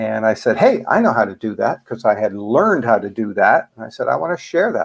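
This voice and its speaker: Speaking with a Canadian accent, a man keeps a moderate pace. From Canada. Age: 60s. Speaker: author and fear coach. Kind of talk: interview. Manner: hesitant, many fillers.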